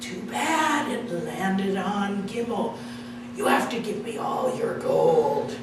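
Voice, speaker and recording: A woman uses a put-on character voice at a fairly high pitch and a fairly slow pace. Strong echo surrounds her, with loud background noise. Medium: read story. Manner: whiny.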